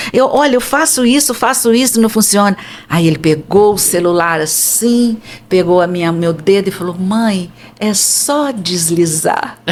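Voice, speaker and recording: Her pitch medium and her intonation lively, a woman speaks at a fairly slow pace over noticeable background noise. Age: 70s. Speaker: psychoanalyst and holistic therapist, author. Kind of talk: casual interview chat.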